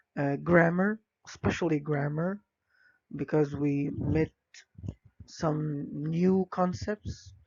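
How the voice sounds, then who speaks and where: Pausing long and often, a man with an Arabic accent speaks at a fairly high pitch with ordinary pitch variation. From Egypt. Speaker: English language teacher. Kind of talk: presentation. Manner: hesitant, many fillers.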